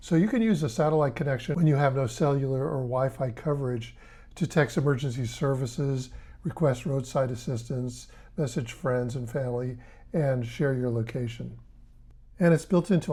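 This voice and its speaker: A man's dark, mellow, somewhat breathy voice at medium pitch, moderate pace and ordinary pitch variation. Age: 70s. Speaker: tech reviewer. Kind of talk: tutorial. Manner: casual.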